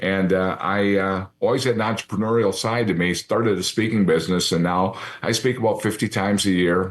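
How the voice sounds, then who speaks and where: An unremarkable speaking voice runs at a fairly quick pace with hardly any pauses. Its loudness stays very even and its intonation fairly even. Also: man, fairly low pitch for a man. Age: 60s. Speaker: retired TV sports anchor. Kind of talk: interview. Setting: studio.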